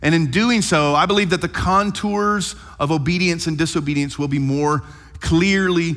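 The background is quiet as a man talks at a moderate pace. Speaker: pastor. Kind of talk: sermon. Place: church. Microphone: headset.

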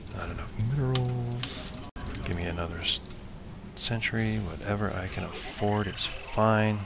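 Noticeable background noise runs beneath a man's fairly low voice, which has ordinary pitch variation and a fairly slow pace. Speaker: gamer commentating own match. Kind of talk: live game commentary.

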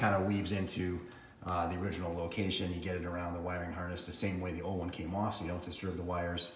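Amid light background noise and audible room echo, a man talks with very deep, low pitch in monotone, flat intonation. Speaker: tractor owner. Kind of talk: tutorial. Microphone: phone near.

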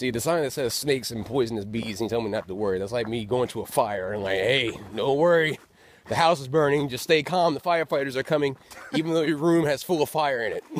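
Very fast speech with lively intonation, dry and echo-free. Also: man. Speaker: travel vlogger. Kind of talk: casual vlog chat. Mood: joking, playful. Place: forest. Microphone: phone near.

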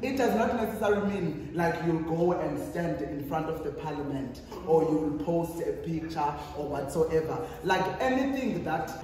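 With a South African accent, the speaker sounds through strong room echo over light background noise. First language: Xhosa. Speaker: youth activist and panelist. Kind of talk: panel discussion. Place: hall. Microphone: camera far.

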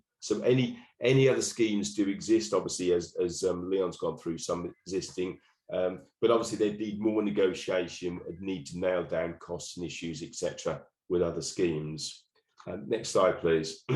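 Speaking at a moderate pace, a man talks with a Norfolk accent. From England, Norfolk. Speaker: local council association officer. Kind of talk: webinar presentation. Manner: hesitant, many fillers and repetitions.

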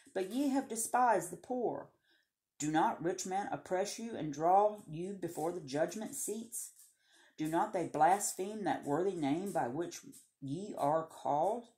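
At a fairly slow pace, a woman with a Southern US accent speaks at medium pitch in a dark, mellow tone, her pitch swinging very widely. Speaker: Bible reading video host. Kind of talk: reading aloud; casual chat. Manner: halting.

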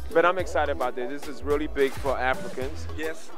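A man speaks with clear music in the background, in a dry sound with no echo. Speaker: comedian award nominee. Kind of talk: interview answer. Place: hall. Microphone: handheld.

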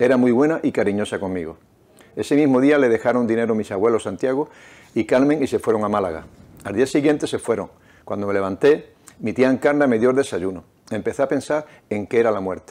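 This man speaks very fast, with ordinary pitch variation. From Nerva, Huelva, Andalusia, Spain; Andalusia, Spain. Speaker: novelist and restaurant owner; interviewee. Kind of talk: reading aloud; interview. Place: studio. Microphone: lapel.

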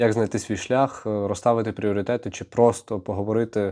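A man speaks at a moderate pace with a dark, mellow tone and fairly low pitch. His intonation is fairly even, and the background is quiet. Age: 20s. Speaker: YouTuber. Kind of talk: vlog monologue.

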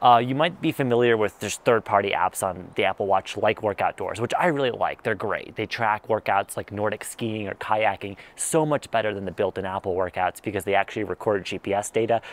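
A man talks fairly quickly with ordinary pitch variation in a dry sound with no echo. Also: fairly low pitch for a man, hardly any pauses. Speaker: tech reviewer. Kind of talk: casual review to camera. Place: garden. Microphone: lapel.

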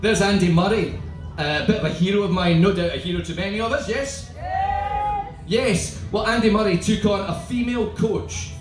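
With clear music in the background, a man with a Scottish accent speaks at a moderate pace. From Scotland. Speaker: performance poet. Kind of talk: stand-up style banter to live audience. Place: tent. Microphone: camera far.

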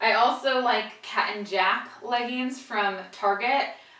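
A woman speaks slowly in a bright, sharp tone with ordinary pitch variation, and the room echo is audible. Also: fairly high pitch for a woman.

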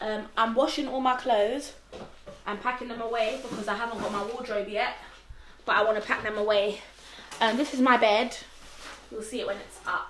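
The speech moves at a fairly quick pace with fairly even intonation, with light background noise and audible room echo. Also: woman. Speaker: vlogger. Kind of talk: casual vlog chat. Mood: playful, relaxed. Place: home room. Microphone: camera far.

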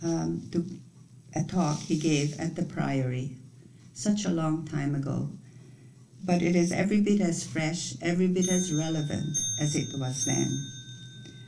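A woman's very deep, low, dark and mellow voice, somewhat breathy, with ordinary pitch variation, long, frequent pauses and light background noise. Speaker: retreat leader. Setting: retreat. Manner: calm, measured. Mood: calm, gentle, reflective. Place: home room. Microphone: webcam.

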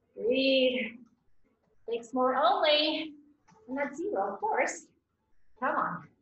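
At a very slow pace, a woman speaks at a high pitch, with audible room echo and light background noise. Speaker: fitness instructor. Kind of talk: workout coaching. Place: home room. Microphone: camera far.

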